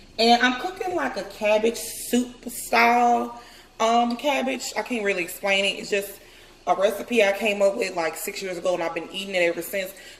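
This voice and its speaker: A woman speaks at a moderate pace with a medium pitch and lively intonation. Noticeable background noise runs underneath. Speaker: lifestyle vlogger. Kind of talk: cooking tutorial vlog. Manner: loud; casual.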